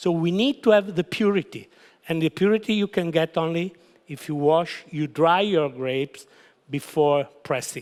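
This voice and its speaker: A man with a high pitch speaks with a strong Italian accent and ordinary pitch variation. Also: moderate pace, dry, close sound with no echo. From Italy. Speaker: winery founder. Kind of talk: wine seminar presentation. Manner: halting.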